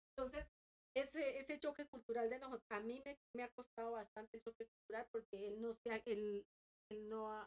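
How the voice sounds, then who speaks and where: A woman with a plain, everyday voice speaks at a moderate pace and fairly high pitch, the sound dry and close with no echo. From Colombia. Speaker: podcast guest. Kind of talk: casual chat.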